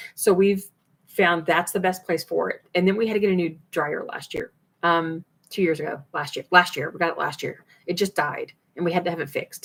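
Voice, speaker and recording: A woman with a fairly low pitch speaks at a fairly quick pace, keeping a fairly even intonation. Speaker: food preservation channel host. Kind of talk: live stream Q&A. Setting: home, laundry closet behind her. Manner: fast.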